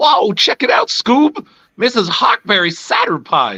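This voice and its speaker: In a put-on character voice, the speaker drawls at a fairly slow pace, pitched fairly high and sounding excited. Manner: cartoonish, excited.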